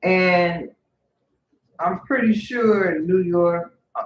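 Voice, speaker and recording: Very slow speech from a woman in a Louisiana accent, her pitch fairly low. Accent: acquired Louisiana. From Northern California, Bay Area. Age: 50s. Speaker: vlogger. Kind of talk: personal storytelling. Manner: halting, with fillers.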